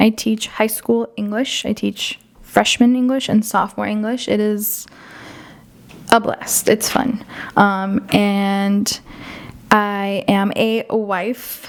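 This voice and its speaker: A woman speaks very slowly in a fairly high, flat monotone. Noticeable background noise runs under her voice. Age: 20s. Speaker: podcast co-host, high school English teacher. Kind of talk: casual chat.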